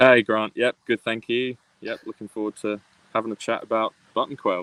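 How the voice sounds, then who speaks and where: A man with an English accent speaks at a moderate pace in a medium pitch with monotone, flat intonation. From UK, raised mostly in Australia. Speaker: PhD student, ornithology researcher. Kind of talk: interview. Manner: halting, many fillers.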